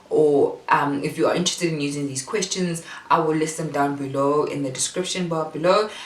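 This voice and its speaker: There is audible room echo and noticeable background noise. A woman speaks at a very deep, low pitch with ordinary variation. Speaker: parenting vlogger. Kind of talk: casual tutorial. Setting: bedroom at home.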